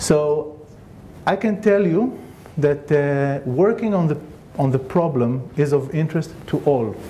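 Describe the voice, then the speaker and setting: This man has a non-native accent and a fairly high pitch, speaking fairly slowly with ordinary pitch variation. Room echo is audible. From Israel. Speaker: scientist. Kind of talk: conference talk.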